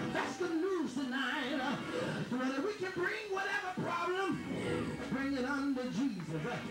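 A man speaks with long, frequent pauses over loud background music. Room echo is audible. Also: fairly slow pace. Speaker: pastor. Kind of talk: church sermon. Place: church. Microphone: camera far.

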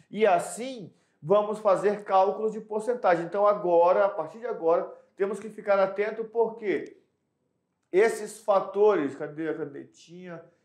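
With audible room echo, a man talks at a moderate pace in a high, animated voice, with ordinary pitch variation and big swings in loudness. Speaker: math teacher. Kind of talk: lecture.

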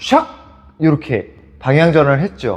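A man talks at a fairly slow pace. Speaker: dance instructor. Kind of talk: tutorial.

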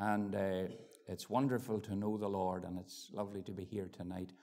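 The man has a dark, mellow tone. His delivery comes at a moderate pace. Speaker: preacher. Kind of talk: sermon. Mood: warm, grateful. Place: church. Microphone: lapel.

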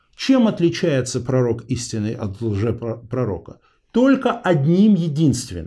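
Against a quiet background, a somewhat breathy man speaks at a very slow pace with a dark, mellow tone and very wide pitch swings. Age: 40s. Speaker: interview show host; interview host. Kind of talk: interview.

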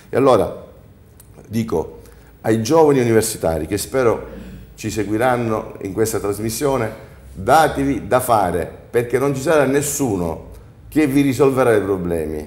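Amid audible room echo, a man with a medium pitch speaks with long, frequent pauses. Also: moderate pace. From Sicily. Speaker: entrepreneur; talk show guest. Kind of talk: studio panel discussion. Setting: TV studio. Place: studio. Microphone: lapel.

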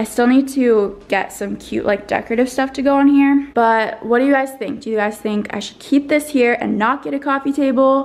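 The speaker has an American accent and a moderate pace. Pitch variation is ordinary, with hardly any pauses. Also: woman, high pitch for a woman. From New Jersey. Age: 20s. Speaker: lifestyle vlogger. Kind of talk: casual vlog chat. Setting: at home in her apartment. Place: home room. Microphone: phone near.

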